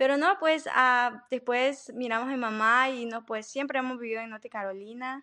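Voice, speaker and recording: A woman with a high pitch and a bright, sharp tone talks at a moderate pace with hardly any pauses. Her loudness swings widely while her pitch varies in an ordinary way. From Honduras, Tegucigalpa. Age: 20s. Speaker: cleaning business owner. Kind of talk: interview.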